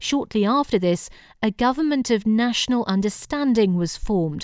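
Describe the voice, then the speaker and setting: A woman talks in a normal speaking voice at a fairly high pitch and a fairly quick pace. Her intonation is lively, and the recording is very clean with a silent background. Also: dry, close sound with no echo. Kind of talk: history documentary narration, scripted. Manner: formal, measured, even-paced; serious, authoritative tone.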